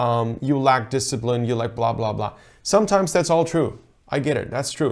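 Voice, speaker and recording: In a quiet background, the man's voice shows ordinary pitch variation. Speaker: rowing coach. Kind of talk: tutorial. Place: office. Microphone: lapel.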